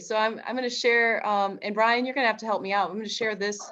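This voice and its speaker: Against a quiet background, a woman speaks in a fairly high, bright, sharp voice. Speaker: history teacher presenting workshop. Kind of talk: teacher workshop presentation. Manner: fast.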